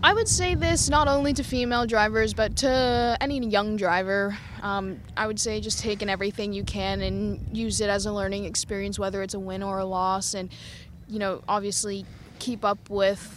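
In an American accent, a woman speaks at a moderate pace, with audible room echo around her. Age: young. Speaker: racing driver. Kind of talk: interview. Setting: at a racetrack.

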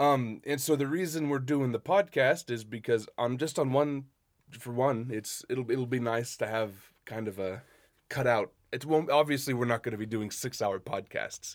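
In an unremarkable speaking voice of medium pitch, a man with an American accent talks at a moderate pace with ordinary pitch variation. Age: 20s. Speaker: podcast co-host. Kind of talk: casual chat.

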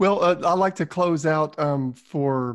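A man speaks with a Southern US accent. The background is quiet. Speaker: sales podcast host. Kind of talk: interview.

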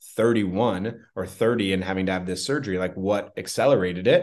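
A man with an ordinary speaking voice talks at a fairly quick pace, his fairly low pitch held in fairly even intonation against a quiet background. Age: 30s. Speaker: entrepreneur, sales coach. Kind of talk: interview.

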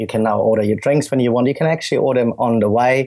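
A man speaks with a German accent. His intonation stays fairly even. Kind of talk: interview. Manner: hesitant, filler words.

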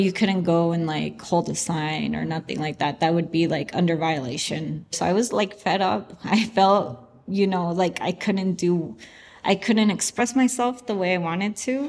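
A woman speaks with a Spanish accent at a fairly low pitch. Her intonation is lively and her pace moderate. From US, San Francisco (born in Chihuahua, Mexico). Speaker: artist. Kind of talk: interview testimony.

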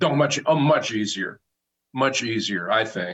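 Speaking at a medium pitch, a man talks with an American accent. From Philadelphia. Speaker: sports journalist. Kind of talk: interview.

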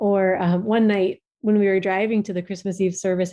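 Speaking fairly quickly, a woman uses a medium pitch and monotone, flat intonation. She has an American accent. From US Midwest (Minnesota suburbs). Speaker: writer. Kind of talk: interview.

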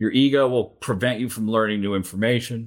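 On a very clean recording with a silent background, a man with an American accent and an unremarkable speaking voice speaks at a moderate pace, fairly low in pitch with fairly even intonation. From Japan (American missionary community, Tokyo). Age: 40s. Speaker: ethical hacker and cybersecurity speaker. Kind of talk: interview conversation.

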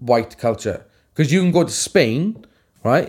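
The speaker has a Welsh accent. The recording is very clean, with a silent background. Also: man. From Wales. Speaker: tattoo artist and podcast co-host. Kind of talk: casual chat. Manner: animated.

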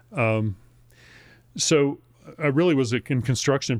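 A man speaks at a moderate pace, and the recording is very clean with a silent background. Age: 60s. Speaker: local politician and writer. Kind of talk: casual interview chat. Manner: halting, many fillers and restarts.

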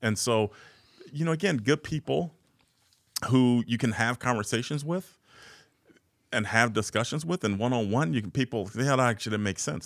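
A man with an American accent and a normal speaking voice, medium in pitch, fairly quick in pace, with lively intonation. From US Midwest, South Side of Chicago. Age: 40s. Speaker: nonprofit chief executive. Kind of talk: casual interview conversation.

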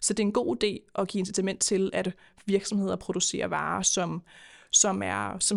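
A woman with vocal fry speaks at a medium pitch and moderate pace on a very clean recording with a silent background. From Denmark, Køge (Zealand). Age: 20s. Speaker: politician. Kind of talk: podcast interview. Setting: studio.

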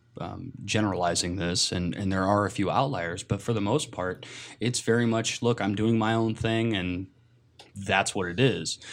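Heard on a very clean recording with a silent background, a man with an American accent has an ordinary speaking voice, fairly low in pitch, moving at a moderate pace with fairly even intonation. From US Pacific Northwest, Seattle. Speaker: podcast guest. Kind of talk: casual chat.

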